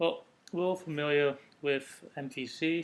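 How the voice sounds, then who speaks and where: A man's fairly high voice with a Dutch accent and fairly even intonation. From Netherlands. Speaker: software developer. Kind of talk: technical presentation. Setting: recorded separately from meetup talk.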